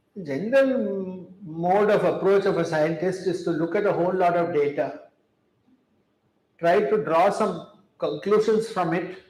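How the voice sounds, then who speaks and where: The man's voice sits high in pitch and varies in an ordinary way. Audible room echo surrounds it. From India. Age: 70s. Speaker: chemistry professor. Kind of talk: public talk. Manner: measured, with fillers.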